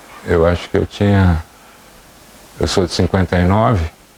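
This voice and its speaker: A man with fairly even intonation, recorded dry and close with no echo, over noticeable background noise. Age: 60s. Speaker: schoolteacher. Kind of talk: interview.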